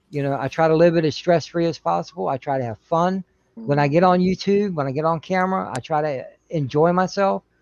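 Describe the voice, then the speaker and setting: This is an unremarkable speaking voice of a man, fairly high in pitch. He talks at a fairly quick pace with ordinary pitch variation. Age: 40s. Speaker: livestream participant. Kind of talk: casual chat.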